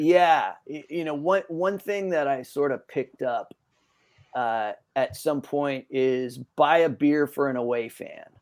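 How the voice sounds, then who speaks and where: This man has an ordinary speaking voice, fairly high in pitch, with an American accent. He talks at a fairly slow pace with ordinary pitch variation. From Northern California. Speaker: podcast guest, musician. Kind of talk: casual interview chat.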